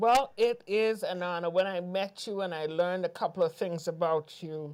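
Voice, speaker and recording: A woman talks in a Virgin Islands accent at a fairly low pitch. Her moderate pace sits in a very clean recording with a silent background. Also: ordinary pitch variation. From US Virgin Islands (Saint Thomas). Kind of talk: interview. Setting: TV studio, live.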